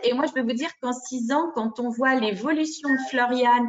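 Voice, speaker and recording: Moderate pace and ordinary pitch variation from a woman with a high voice. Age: 60s. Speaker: parent caregiver of daughter with MS. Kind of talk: testimony in group discussion.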